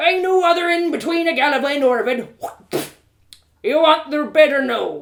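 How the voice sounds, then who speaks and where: Putting on a gruff character voice, a woman speaks high and at a moderate pace, with long, frequent pauses. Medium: read story. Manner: gruff, curt.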